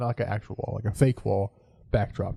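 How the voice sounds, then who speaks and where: The voice moves at a very fast pace, somewhat breathy with a dark, mellow tone and ordinary pitch variation. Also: man. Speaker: podcast co-host. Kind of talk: casual chat. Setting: home recording setup in living room corner.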